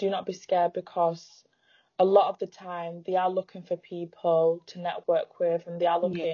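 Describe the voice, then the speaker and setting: A woman with a northern English accent talks at a moderate pace and a fairly low pitch. Her intonation is monotone and flat, while her loudness swings widely. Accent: northern English, noticeable. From northern England. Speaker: footwear brand founder. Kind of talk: casual interview chat. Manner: shy about speaking, but confident.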